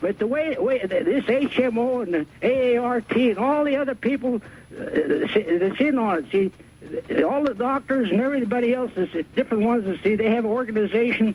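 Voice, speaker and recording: Over noticeable background noise, a man speaks at a fairly quick pace in an extremely high voice. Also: ordinary pitch variation. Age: 80s+. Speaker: caller, retired railroad worker. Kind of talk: radio call-in. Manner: halting, repetitive.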